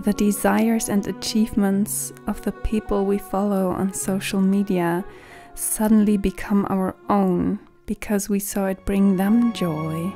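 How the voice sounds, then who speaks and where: Soothing, medium-pitched woman's voice at a fairly slow pace with ordinary pitch variation, over music in the background. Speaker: voice over artist. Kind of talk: calm reflective vlog narration. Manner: soft, soothing, slow.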